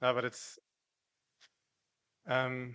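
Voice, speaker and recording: A man with a South African accent, dry and close with no echo. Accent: South African (Afrikaans). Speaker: cricketer. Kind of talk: press conference. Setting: press conference room.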